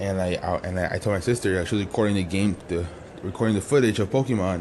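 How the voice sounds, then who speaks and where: This man speaks very fast. The rise and fall of his pitch is ordinary. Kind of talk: casual talk to camera. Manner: casual, rambling.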